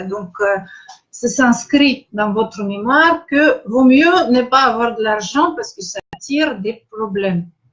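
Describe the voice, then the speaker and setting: A woman with a Russian accent at a very slow pace, with lively intonation. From Russia, Saint Petersburg. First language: Russian (speaking French). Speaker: spiritual coach. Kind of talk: live online masterclass. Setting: live stream. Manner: halting, many hesitations.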